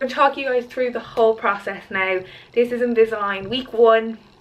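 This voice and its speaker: A woman speaks in a Dublin accent. Her tone is bright and sharp. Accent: Irish (Dublin area). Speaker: vlogger and fitness model. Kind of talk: vlog. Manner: casual, hesitant with fillers.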